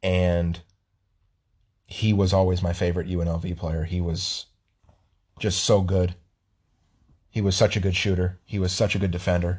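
In an American accent, the speaker moves at a moderate pace with a somewhat breathy, monotone, flat delivery. Long, frequent pauses break up the speech over a quiet background. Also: man, very deep, low pitch for a man. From Las Vegas, US. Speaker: sports podcast host. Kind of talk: casual chat.

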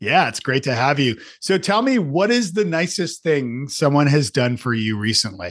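A man with a fairly high voice speaks at a moderate pace, his pitch swinging very widely. He barely pauses, and the background is quiet. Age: 50s. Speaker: podcast host. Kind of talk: casual interview.

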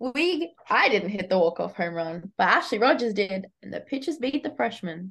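A woman with an Australian accent talks at a moderate pace and medium pitch, her pitch swinging very widely, with hardly any pauses. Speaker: college athlete. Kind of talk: casual chat. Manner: chatty.

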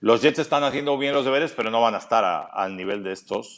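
With a Castilian accent, a man speaks at a fairly high pitch and with lively intonation. The recording is very clean with a silent background. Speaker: NFL commentator. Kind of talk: interview.

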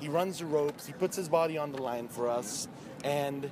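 The man's pitch varies in an ordinary way. Background noise can be clearly heard. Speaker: wrestling fan interviewee. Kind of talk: casual chat.

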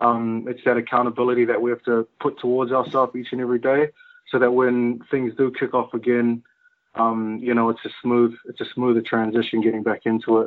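Using a monotone, flat intonation, a man speaks at a fairly quick pace in an American accent. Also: medium pitch for a man. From New Zealand. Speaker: rugby player and musician. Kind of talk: casual chat. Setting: remote call during lockdown.

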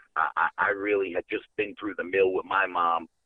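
At a moderate pace, a man talks with a New York accent. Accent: Bronx New York. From New York City, the Bronx. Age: 40s. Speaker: caller. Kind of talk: casual chat. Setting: phone call.

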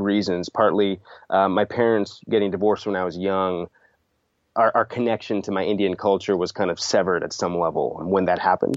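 A man talks fairly quickly, and his intonation stays fairly even. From Sunnyvale, California (born in India). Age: 30s. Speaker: interviewed voter. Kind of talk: interview.

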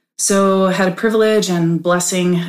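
A woman's fairly low voice in an American accent, with audible room echo. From Oklahoma. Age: 30s. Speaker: nurse. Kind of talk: casual chat. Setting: studio.

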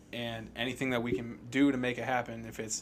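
The man talks at a fairly quick pace with a medium pitch. His intonation is monotone and flat. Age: 30s. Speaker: metal band guitarist. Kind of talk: interview.

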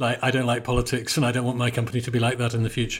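Recorded very cleanly against a silent background, a man talks at a very fast pace in a medium pitch. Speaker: podcast host. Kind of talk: interview conversation.

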